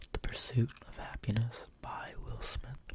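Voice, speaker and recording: Whispering is all that comes from this man. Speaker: ASMR creator. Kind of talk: ASMR Q&A. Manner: soft-spoken, whispered.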